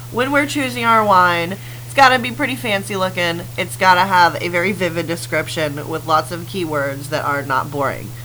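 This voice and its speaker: A woman's very deep, low voice with very wide pitch swings, a moderate pace and hardly any pauses, over noticeable background noise. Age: 30s. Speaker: podcast co-host. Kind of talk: casual chat.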